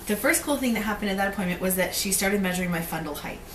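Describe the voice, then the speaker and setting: Over noticeable background noise and audible room echo, a woman talks at a medium pitch. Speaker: vlogger. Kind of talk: casual vlog. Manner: fast; many filler ums.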